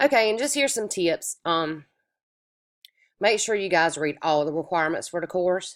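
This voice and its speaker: With an American accent, a woman speaks at a medium pitch and moderate pace, her intonation lively and her pauses long and frequent. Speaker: online course instructor. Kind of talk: recorded lecture. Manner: casual, with many filler words.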